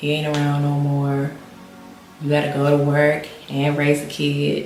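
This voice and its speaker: In an American accent, a woman whispers at a moderate pace amid noticeable background noise and audible room echo. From Maryland, US. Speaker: lifestyle vlogger. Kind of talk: casual vlog update. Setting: home sit-down video. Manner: whispering.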